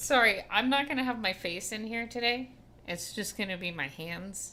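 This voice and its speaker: Loud and fairly slow, a woman speaks in a fairly high voice with a bright, sharp tone and lively intonation. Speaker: livestreamer making miniatures. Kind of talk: casual livestream chat. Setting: livestream with chat.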